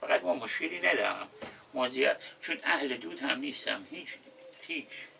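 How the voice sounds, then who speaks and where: Fairly quick male speech amid noticeable background noise. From Khuzestan, Khorramshahr, southwest Iran. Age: 60s. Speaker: wooden boat repairman. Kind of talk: casual chat. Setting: indoors with air conditioner running.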